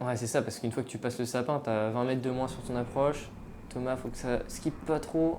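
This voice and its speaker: In a room with audible echo, a woman speaks with a very deep, low pitch, a dark, mellow tone and fairly even intonation. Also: fairly quick pace. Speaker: disc golf commentator. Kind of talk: live sports commentary.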